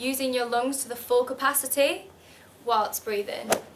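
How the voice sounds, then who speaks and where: A woman with a northern English accent speaks in a high pitch at a moderate pace, with fairly even intonation. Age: 20s. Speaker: model. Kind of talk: tutorial.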